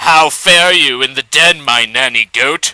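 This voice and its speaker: Using a gruff, put-on character voice, a man talks at a fairly slow pace with a fairly high pitch. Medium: read story.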